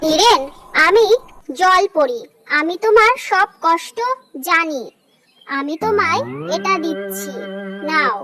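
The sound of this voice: A cartoonish character voice that sounds female speaks at an extremely high pitch. The pace is very slow.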